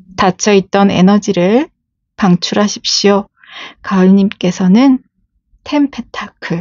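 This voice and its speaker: A woman with a medium pitch talks at a very slow pace, using ordinary pitch variation. Her speech has long, frequent pauses. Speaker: tarot reader. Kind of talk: tarot reading to camera.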